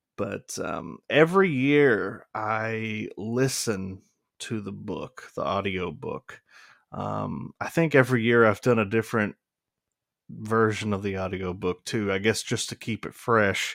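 Speaking at a fairly slow pace, a man with a fairly low pitch uses ordinary pitch variation. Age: 20s. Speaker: podcast co-host. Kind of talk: casual chat. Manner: hesitant, many fillers.

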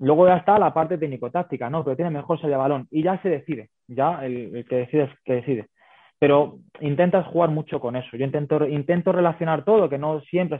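Talking very fast, a man with a fairly high voice shows ordinary pitch variation. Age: 30s. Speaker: women's football fitness coach. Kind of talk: interview.

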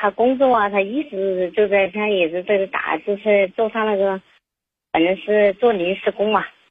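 A woman speaks with a Chongqing accent at a medium pitch. Her pace is moderate and her intonation fairly even. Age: 50s. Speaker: caller. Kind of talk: phone call-in. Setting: phone call. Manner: halting.

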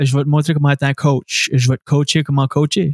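At a moderate pace, a somewhat breathy man with a fairly high pitch speaks in a dry, close sound with no echo. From Scoudouc, New Brunswick (Acadia). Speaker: stand-up comedian and radio host. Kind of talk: casual interview chat.

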